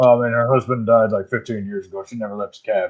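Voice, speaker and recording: In a gruff, put-on character voice of medium pitch, a man rattles along at a very fast pace. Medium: actual play.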